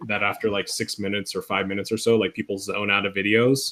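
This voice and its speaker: Very fast speech over noticeable background noise. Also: man. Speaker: instructional technology trainer for teachers. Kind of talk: tutorial. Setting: video call. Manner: casual, with fillers.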